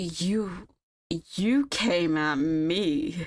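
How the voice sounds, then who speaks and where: Using a put-on character voice, a woman speaks with a fairly low pitch. Her intonation is lively. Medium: read story.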